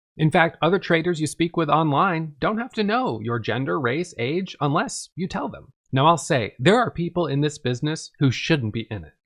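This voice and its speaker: With an American accent, a man talks in an ordinary speaking voice, fairly high-pitched, at a moderate pace with lively intonation and big swings in loudness. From US Northeast, Vermont. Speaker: author and day trader. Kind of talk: audiobook narration of own book.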